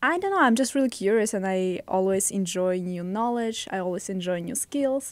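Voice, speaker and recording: A woman of medium pitch speaks with a Russian accent at a moderate pace, with ordinary pitch variation and hardly any pauses. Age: 20s. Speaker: podcast guest, host's girlfriend. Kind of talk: casual podcast chat.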